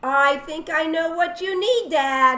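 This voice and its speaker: Speaking fairly slowly, a woman performs a put-on character voice. Her pitch sits extremely high. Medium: read story.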